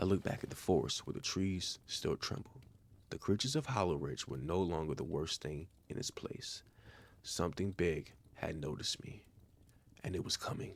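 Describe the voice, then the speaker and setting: A man speaks very deep and low with vocal fry. His intonation is lively and his pace moderate. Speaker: story narrator, channel owner. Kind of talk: calm horror story narration for bedtime.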